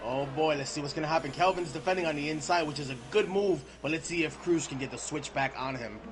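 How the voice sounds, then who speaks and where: A man speaks very fast at a fairly high pitch, with hardly any pauses and ordinary pitch variation. Noticeable background noise sits behind him. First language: not English. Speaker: esports race commentator. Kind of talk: live commentary. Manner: animated.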